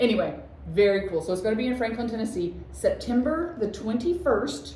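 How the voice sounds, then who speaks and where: A woman's fairly high voice at a fairly quick pace, with very wide pitch swings, audible room echo and noticeable background noise. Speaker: shop owner and craft video host. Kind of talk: casual chat. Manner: halting.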